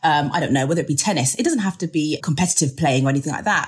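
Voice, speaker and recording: In a very clean recording with a silent background, a woman speaks in a somewhat breathy voice with lively intonation. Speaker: recruitment adviser. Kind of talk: interview advice.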